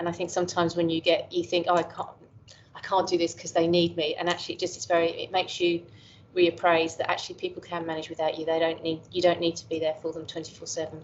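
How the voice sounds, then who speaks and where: Very fast speech with an English accent and monotone, flat intonation. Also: woman, fairly low pitch for a woman. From England. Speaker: professor. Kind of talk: interview conversation. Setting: call. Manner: halting.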